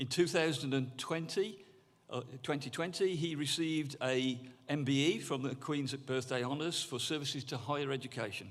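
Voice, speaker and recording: Speaking at a moderate pace in a fairly high pitch, a man shows ordinary pitch variation while audible room echo surrounds his voice. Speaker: university governor presenting an award. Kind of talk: awards ceremony presentation. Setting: stage with audience. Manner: halting.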